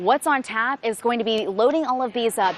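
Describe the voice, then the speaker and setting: Noticeable background noise sits behind a woman speaking at a very fast pace. Her fairly high voice shows ordinary pitch variation. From New Orleans, Louisiana. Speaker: news anchor and reporter. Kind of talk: news reporting.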